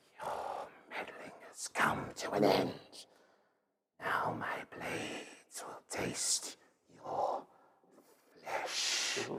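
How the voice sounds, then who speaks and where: A raspy, put-on character voice at a very slow pace. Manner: menacing, threatening.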